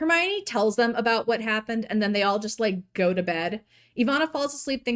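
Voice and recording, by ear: In a natural voice, the words are read aloud.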